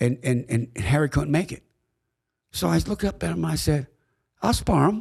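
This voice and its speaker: Over a silent background in a very clean recording, a man talks at a fairly quick pace in a somewhat breathy voice. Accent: American. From Pittsburgh, Pennsylvania. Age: 70s. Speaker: boxing commissioner and former referee. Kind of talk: storytelling in podcast interview.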